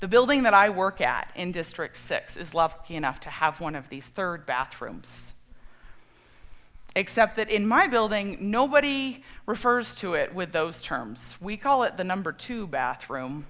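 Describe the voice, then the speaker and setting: A woman speaks with an American accent at a fairly slow pace, with a medium pitch, very wide pitch swings, big swings in loudness and vocal fry. The recording is very clean, with a silent background. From Colorado, US. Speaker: storyteller. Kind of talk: personal storytelling talk.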